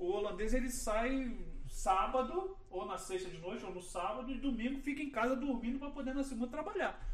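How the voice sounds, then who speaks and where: With a Rio de Janeiro accent, a man speaks at an extremely high pitch with lively intonation. Audible room echo surrounds his voice. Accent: Carioca Brazilian Portuguese. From Rio de Janeiro, Brazil. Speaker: landscape architect. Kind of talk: casual chat. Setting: studio video podcast, live stream.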